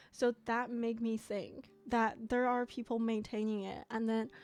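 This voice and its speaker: On a very clean recording with a silent background, a woman speaks in a fairly high, monotone, flat voice. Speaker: gaming YouTuber. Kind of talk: let's play commentary. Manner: casual, chatty with fillers.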